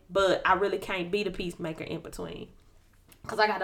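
The intonation stays fairly even, with vocal fry running through the voice. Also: woman. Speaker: podcast co-host. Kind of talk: casual chat. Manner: calm.

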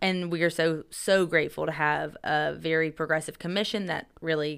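A woman speaks with an American accent in a very deep, low voice. Her intonation is flat and monotone. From Upstate South Carolina (Greer). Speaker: tourism sales director. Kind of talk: casual interview. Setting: studio.

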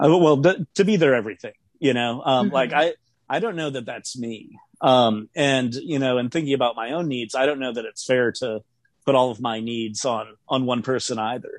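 The man's medium-pitched voice shows ordinary pitch variation and keeps a moderate pace. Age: 30s. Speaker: self-employed music worker, podcast guest. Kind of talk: casual interview chat. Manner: halting, many fillers.

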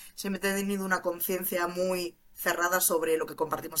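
A woman's animated, medium-pitched voice at a fairly quick pace, with noticeable background noise. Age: 20s. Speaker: criminologist turned cybersecurity junior. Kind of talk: interview.

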